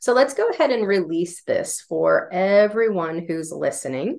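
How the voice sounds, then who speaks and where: A woman with an American accent at medium pitch and moderate pace, with an ordinary speaking voice. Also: quiet background. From US Northeast, northern Vermont. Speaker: intuitive healer. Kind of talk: guided energy clearing.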